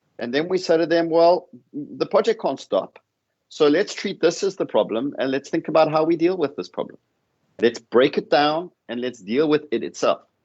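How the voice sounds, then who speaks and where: Talking at a moderate pace, a man with a South African accent has a fairly high pitch and ordinary pitch variation. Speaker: professor. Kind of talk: panel discussion. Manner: repeats words, some false starts.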